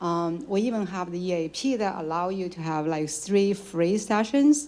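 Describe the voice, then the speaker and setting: A woman's medium-pitched voice with a non-native accent, a dark, mellow tone, lively intonation and a moderate pace. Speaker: audience member asking a question. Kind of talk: audience question at a lecture Q&A.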